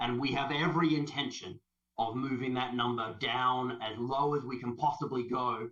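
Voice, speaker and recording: Speaking at a moderate pace, a man with an Australian accent has a medium pitch and a bright, sharp tone. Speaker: health service sustainability leader. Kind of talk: conference presentation. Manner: animated.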